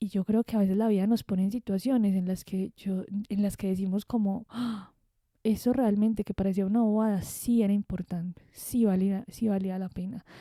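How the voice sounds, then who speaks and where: In a strong Medellín accent, a woman talks at a moderate pace with a dark, mellow tone, medium pitch and fairly even intonation, the sound dry and close with no echo. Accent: strong Medellín (paisa). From Colombia, Medellín. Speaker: podcast host. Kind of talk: reflective monologue. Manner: conversational.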